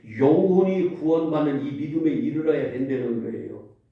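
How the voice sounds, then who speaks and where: A man's voice with audible room echo. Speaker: pastor. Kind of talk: sermon. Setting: church. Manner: interactive, questioning congregation.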